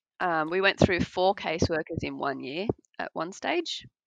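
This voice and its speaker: The woman speaks in an Australian accent at a moderate pace, and the background is quiet. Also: dry, close sound with no echo. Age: 30s. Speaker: adoptive mother and IVF patient. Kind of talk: interview.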